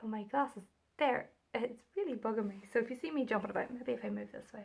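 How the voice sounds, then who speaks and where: A woman talks at a very fast pace. She has a Northern Irish accent. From Northern Ireland. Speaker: knitting and crochet podcaster. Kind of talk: casual chat. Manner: hesitant, many fillers.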